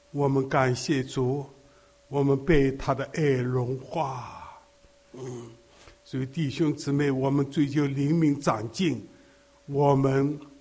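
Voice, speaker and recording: With long, frequent pauses, a man talks at a very slow pace in a fairly high, monotone, flat voice, and audible room echo surrounds him. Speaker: elderly preacher. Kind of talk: sermon.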